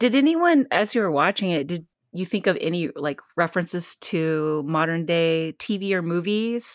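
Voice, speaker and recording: A woman with a plain, everyday voice talks at a moderate pace in a fairly low pitch, with ordinary pitch variation and hardly any pauses. The recording is very clean, with a silent background. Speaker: guest. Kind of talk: casual group discussion.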